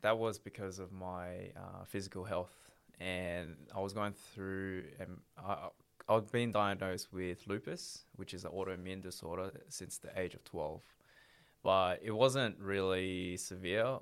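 A man with an Australian accent speaks at a fairly slow pace in a very deep, low voice, his intonation fairly even but his loudness swinging widely, on a very clean recording with a silent background. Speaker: former prisoner. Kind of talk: interview.

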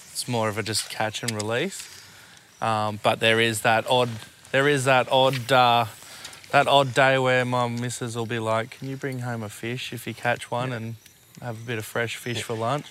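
A man speaks in an Australian accent with monotone, flat intonation. Noticeable background noise runs underneath. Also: medium pitch for a man, moderate pace. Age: 30s. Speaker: podcast co-host. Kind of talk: casual chat. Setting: outdoors.

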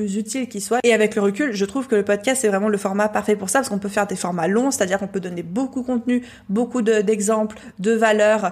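With a fairly high pitch and ordinary pitch variation, a woman speaks in an unremarkable speaking voice. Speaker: entrepreneur and podcaster. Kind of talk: testimony.

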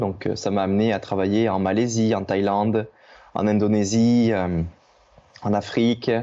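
This man's voice is fairly low in pitch with a dark, mellow tone. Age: 30s. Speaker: trail runner. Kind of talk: podcast interview. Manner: hesitant, many fillers.

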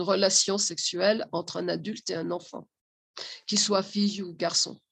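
Very slowly, a woman talks at a medium pitch. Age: 60s. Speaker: social educator and family therapist. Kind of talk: interview.

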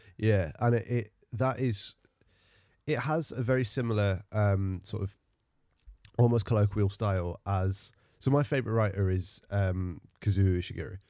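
At a moderate pace with long, frequent pauses, a man speaks at a fairly low pitch in a dark, mellow tone with ordinary pitch variation. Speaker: poet and podcast co-host. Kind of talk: casual interview conversation.

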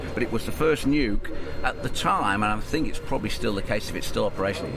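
The speech comes at a fairly quick pace with ordinary pitch variation against noticeable background noise. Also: man. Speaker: ex-military pilot. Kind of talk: casual interview chat. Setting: outdoors at air show.

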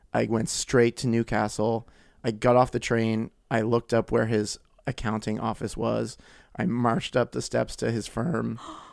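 With an ordinary speaking voice, a man speaks at a moderate pace and medium pitch, his intonation fairly even, on a very clean recording with a silent background. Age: 30s. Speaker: podcast guest. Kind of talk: casual chat.

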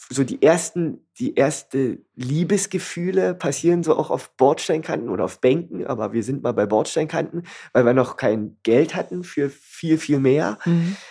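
Speaking at a fairly slow pace with hardly any pauses, a man has a fairly high pitch, a dark, mellow tone and vocal fry. His intonation is lively, and the recording is very clean with a silent background. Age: 30s. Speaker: café owner. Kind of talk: casual chat. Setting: in his café.

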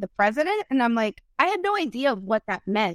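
Talking fairly quickly in a Spanish accent, a woman has a fairly high pitch, and the sound is dry and close with no echo. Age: 40s. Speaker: dating coach and former Marine. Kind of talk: casual interview chat.

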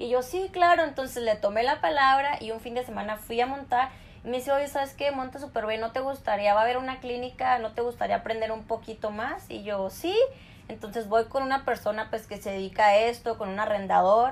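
This woman has an unremarkable speaking voice, fairly high in pitch. She talks at a fairly quick pace with ordinary pitch variation. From northern Mexico (Chihuahua). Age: 20s. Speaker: rodeo and motocross athlete. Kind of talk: interview. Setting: video call.

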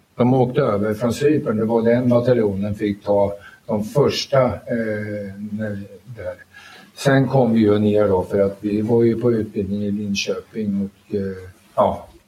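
A fairly low-pitched man's voice at a fairly slow pace, with fairly even intonation and audible room echo. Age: 80s+. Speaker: army veteran, UN peacekeeper. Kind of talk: live panel talk. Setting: stage with audience in a library. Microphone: poorer live sound.

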